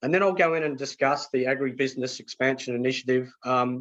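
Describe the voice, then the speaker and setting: A man with an Australian accent speaks at a moderate pace. His pitch is fairly high. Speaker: market analyst presenter. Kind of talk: webinar presentation. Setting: webinar.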